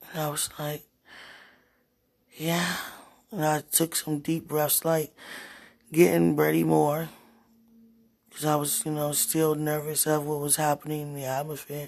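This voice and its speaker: Quiet and in a flat monotone, a woman speaks at a very deep, low pitch and a fairly slow pace. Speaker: preacher. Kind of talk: spontaneous prophetic address to listeners. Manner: halting.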